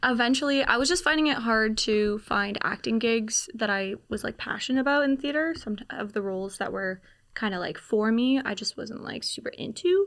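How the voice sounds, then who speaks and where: A woman's plain, everyday voice, fairly high in pitch, with lively intonation at a moderate pace, in a very clean recording with a silent background. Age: 20s. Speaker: actor and filmmaker. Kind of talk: podcast interview. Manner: casual, frequent fillers.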